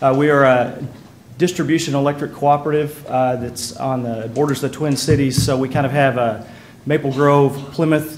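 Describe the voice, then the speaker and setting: Audible room echo surrounds a man with a Texas accent and a fairly high pitch. He speaks at a moderate pace in a monotone, flat intonation. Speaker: electric cooperative manager. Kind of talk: conference presentation. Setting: conference panel with audience. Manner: many filler words, hesitant.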